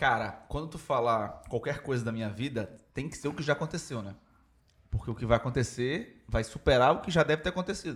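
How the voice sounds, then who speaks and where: Somewhat breathy, a man speaks at a fairly quick pace in a medium pitch with ordinary pitch variation. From Belém do Pará, Brazil. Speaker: podcast guest, member of a comedy group. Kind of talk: casual comedic chat. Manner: halting, repetitive.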